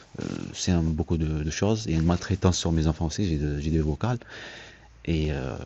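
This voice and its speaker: Soft-spoken and very deep in pitch, a man talks at a fairly quick pace broken by long, frequent pauses. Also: ordinary pitch variation. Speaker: father seeking help with letters. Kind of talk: conversation at an assistance office. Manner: halting, many hesitations.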